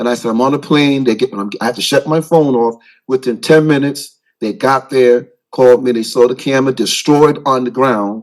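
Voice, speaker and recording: A man with a medium pitch talks at a fairly quick pace, his intonation fairly even. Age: 60s. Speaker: pastor. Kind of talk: public comment at town council meeting. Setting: council chamber. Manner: halting.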